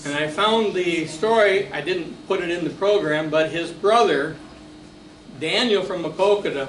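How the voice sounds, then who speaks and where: Through audible room echo and noticeable background noise, a man speaks fairly slowly at a high pitch with ordinary pitch variation. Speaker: local history presenter. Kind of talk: lecture. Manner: halting.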